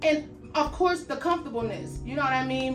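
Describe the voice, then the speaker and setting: A woman's voice with clear music in the background. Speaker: fitness apparel reviewer. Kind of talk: casual vlog chat. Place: home room.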